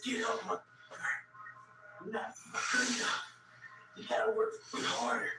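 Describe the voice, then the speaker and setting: Someone whispers in a put-on character voice at a moderate pace, with long, frequent pauses, slight echo and loud background noise. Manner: whispering, harsh.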